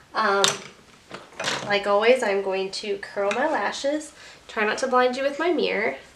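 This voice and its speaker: This woman's pitch swings very widely, and noticeable background noise runs underneath. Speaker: beauty vlogger. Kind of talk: makeup tutorial. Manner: casual, chatty.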